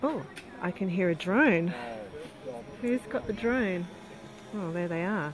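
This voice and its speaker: Noticeable background noise sits under a woman's medium-pitched voice with lively intonation. She speaks at a fairly slow pace with long, frequent pauses. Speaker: event live-streamer. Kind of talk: casual live commentary. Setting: outdoors.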